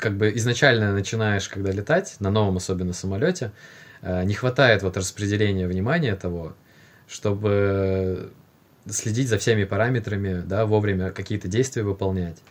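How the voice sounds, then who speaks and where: A man with an ordinary speaking voice talks at a moderate pace and a fairly low pitch, keeping his intonation fairly even. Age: 20s. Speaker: airline pilot. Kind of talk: casual chat.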